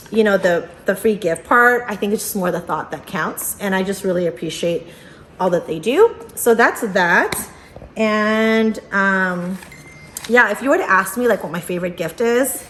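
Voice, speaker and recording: With noticeable background noise behind her, a woman talks at a moderate pace in a medium pitch, with ordinary pitch variation. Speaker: unboxing youtuber. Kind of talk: casual vlog unboxing. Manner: animated, filler-heavy.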